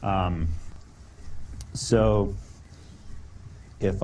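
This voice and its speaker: A man speaks with vocal fry. There is audible room echo. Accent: American. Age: 30s. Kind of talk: informal talk to a group. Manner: hesitant, many fillers.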